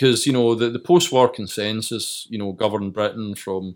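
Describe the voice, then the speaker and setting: Fairly low male voice in a west of Scotland accent, moderate pace and fairly even intonation, on a very clean recording with a silent background. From Scotland, Greenock. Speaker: author. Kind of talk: interview.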